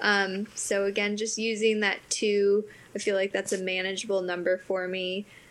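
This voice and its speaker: This woman has an American accent and a medium pitch. Her intonation stays monotone and flat. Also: moderate pace. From Wisconsin, US Midwest. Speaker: podcast co-host and professional eventing rider. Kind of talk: casual chat.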